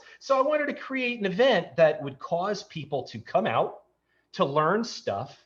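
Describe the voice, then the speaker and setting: A somewhat breathy man with an American accent, fairly quick pace and lively intonation, over a quiet background. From New York. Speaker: tech entrepreneur. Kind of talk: casual interview chat.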